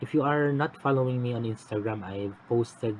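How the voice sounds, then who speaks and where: A medium-pitched male voice at a moderate pace over noticeable background noise. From Philippines. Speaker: cross-stitch vlogger. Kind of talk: casual vlog update. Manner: quiet; halting. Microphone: phone mic.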